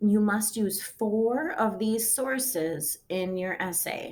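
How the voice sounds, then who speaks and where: Very slowly, a woman speaks at medium pitch with ordinary pitch variation. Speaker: high school English teacher. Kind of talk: recorded lesson.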